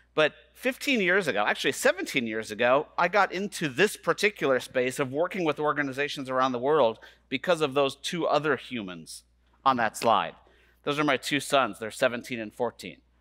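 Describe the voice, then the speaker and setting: A man's bright, sharp voice against a quiet background. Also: moderate pace. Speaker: conference keynote speaker. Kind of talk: keynote talk. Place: stage. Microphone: headset.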